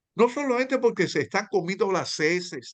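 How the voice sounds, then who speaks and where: Intonation is lively as a man speaks at a fairly slow pace. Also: quiet background. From Dominican Republic. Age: 80s+. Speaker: novelist. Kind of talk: panel discussion. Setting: video call. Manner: halting, many fillers and repetitions.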